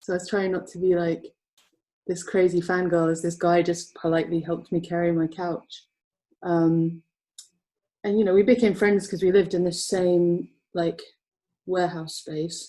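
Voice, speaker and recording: In an English accent, a woman with a fairly low pitch and a dark, mellow tone speaks at a moderate pace in a monotone, flat intonation, with long, frequent pauses. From England, Essex. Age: 30s. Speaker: comic colorist. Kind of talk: casual interview. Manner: hesitant, many fillers.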